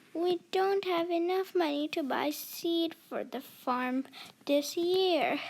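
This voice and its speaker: A woman does a put-on character voice. Her pitch is extremely high. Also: fairly slow pace, ordinary pitch variation. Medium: read story.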